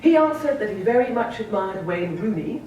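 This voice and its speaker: A woman with a British accent talks at a fairly quick pace, her pitch swinging very widely. Audible room echo and noticeable background noise surround her voice. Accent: British-sounding. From Sierra Leone and Scotland. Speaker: novelist. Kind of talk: keynote speech.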